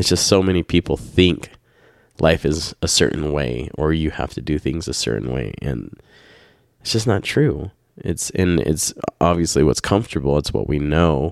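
Over a very clean recording with a silent background, a man with a very deep, low pitch and vocal fry speaks at a moderate pace with lively intonation. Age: 30s. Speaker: podcast host and parent running a family business. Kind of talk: casual chat. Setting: home podcast with spouse.

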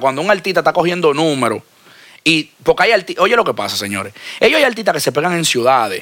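Lively intonation and a bright, sharp tone come through at a very fast pace. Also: man. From Dominican Republic. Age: 30s. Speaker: music label owner. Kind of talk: casual interview.

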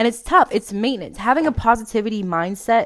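On a very clean recording with a silent background, a woman with an American accent speaks at a fairly quick pace in an animated, upbeat tone with lively intonation. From Memphis, Tennessee (US South), then South Florida. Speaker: self-help podcast host. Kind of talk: motivational solo monologue.

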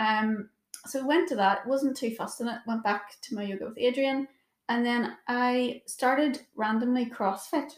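A woman with a Northern Irish accent, high pitch, ordinary pitch variation and a moderate pace. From Northern Ireland, Portadown. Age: 20s. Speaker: yoga teacher. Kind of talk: casual chat.

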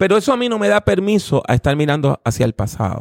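With very wide pitch swings, a man speaks at a fairly high pitch and a fairly quick pace. The sound is dry and close, with no echo. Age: 50s. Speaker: preacher and theology professor. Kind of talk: interview.

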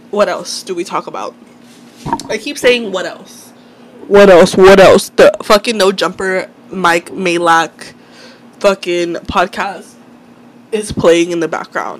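A woman at medium pitch speaks fairly slowly over noticeable background noise, with ordinary pitch variation. Her loudness swings widely, and she leaves long, frequent pauses. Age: 30s. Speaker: podcast host. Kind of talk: casual monologue. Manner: candid, conversational.

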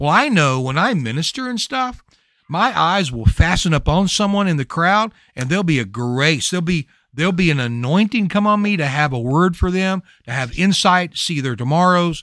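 The voice has a Louisiana accent and a bright, sharp tone. Its pitch swings very widely. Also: man, high pitch for a man, moderate pace, very clean recording, silent background. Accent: Louisiana Southern US. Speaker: prayer ministry podcaster. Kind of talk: bible teaching in casual video chat.

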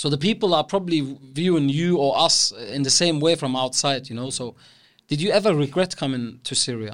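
The recording is very clean, with a silent background, and a man with an ordinary speaking voice talks at a fairly quick pace. His pitch is fairly high for a man, with ordinary pitch variation. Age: young. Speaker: podcast host. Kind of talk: casual interview.

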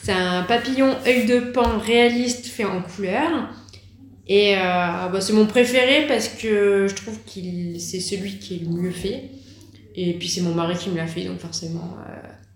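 A woman speaks at a very slow pace and medium pitch, with ordinary pitch variation and big swings in loudness. Audible room echo surrounds her voice. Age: 30s. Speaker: tattoo artist. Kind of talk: interview. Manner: hesitant, many fillers.

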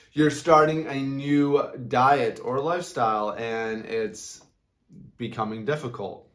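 Over music in the background, a man with a fairly high pitch speaks at a very slow pace with ordinary pitch variation. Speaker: podcast host, health and motivation. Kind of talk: motivational monologue. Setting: studio with whiteboard, on video. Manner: loud; animated.

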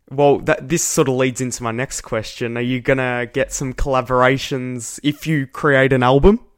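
A man with an unremarkable speaking voice talks at a medium pitch and a moderate pace. His intonation stays fairly even, with hardly any pauses. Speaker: podcast host. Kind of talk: casual chat.

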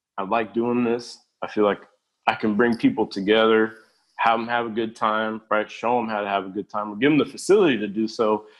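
Fairly quick speech from a man at medium pitch. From Mexico (Aguascalientes), raised in Long Beach area, California. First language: Spanish. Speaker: podcast guest. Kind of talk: casual chat.

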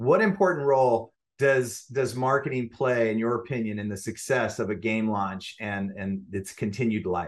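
A man with an unremarkable speaking voice talks at a moderate pace with hardly any pauses, his medium pitch showing ordinary variation. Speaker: podcast host, agency CEO. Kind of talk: interview.

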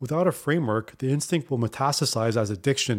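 A man talking at a very fast pace. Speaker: podcast host. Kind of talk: scripted monologue.

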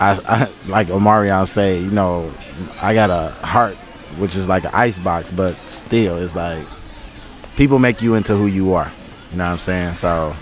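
Over noticeable background noise, a man with a very deep, low pitch speaks at a moderate pace, using ordinary pitch variation and long, frequent pauses. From Detroit, US Midwest. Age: 40s. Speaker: podcast host. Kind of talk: casual chat. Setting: outdoors in a park.

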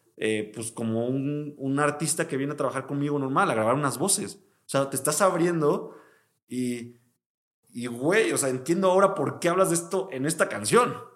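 At a moderate pace, a man with a plain, everyday voice speaks at a fairly high pitch with lively intonation. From Mexico, Veracruz. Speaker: music producer. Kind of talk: casual chat.

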